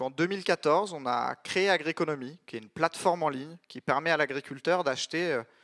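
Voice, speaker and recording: This is a man with an unremarkable speaking voice and ordinary pitch variation. He talks at a moderate pace in a dry, close sound with no echo. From France, Paris region. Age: 30s. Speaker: startup founder. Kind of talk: conference talk.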